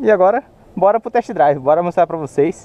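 A man talks at a high pitch and a fairly quick pace. The sound is dry with no echo. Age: 20s. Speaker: car YouTuber; car vlogger. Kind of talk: casual vlog with test drive. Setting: in a car. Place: street. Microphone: phone near.

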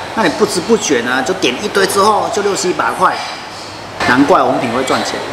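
Loud background noise runs under speech at a moderate pace. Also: man. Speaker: food vlogger. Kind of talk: casual food review chat. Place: cafe. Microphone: phone near.

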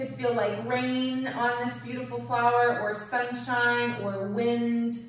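Strong room echo and light background noise surround a woman's voice. She speaks at a very slow pace. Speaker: yoga teacher. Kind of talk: guided yoga and meditation class. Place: home room. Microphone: camera far.

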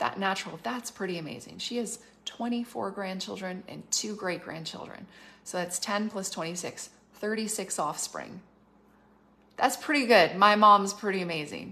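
A woman with a medium pitch and a bright, sharp tone talks at a fairly slow pace, her pitch varying normally while her loudness swings widely. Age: 40s. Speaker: prophetic minister. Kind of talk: livestream prophetic talk. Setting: Facebook Live video. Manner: casual, filler-heavy. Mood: warm, enthusiastic. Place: home room. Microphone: phone near.

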